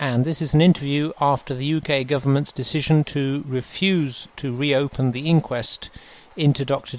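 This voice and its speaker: Fairly even intonation and a moderate speed in an ordinary speaking voice. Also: man. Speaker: radio host. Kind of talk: show introduction.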